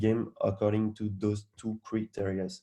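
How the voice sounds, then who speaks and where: A medium-pitched man with a strong French accent and a dark, mellow tone. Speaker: hackathon organizer. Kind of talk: event briefing. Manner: halting, frequent repetitions.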